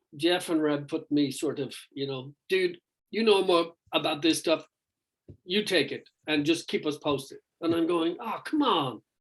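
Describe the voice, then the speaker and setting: Irish-accented man, fairly high in pitch, at a moderate pace with ordinary pitch variation. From Ireland. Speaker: rock vocalist. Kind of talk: interview. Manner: halting, many fillers.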